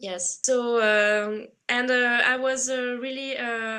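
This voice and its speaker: A woman with a French accent talks at a fairly high pitch. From France. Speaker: writer. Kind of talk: casual interview. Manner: halting with many fillers.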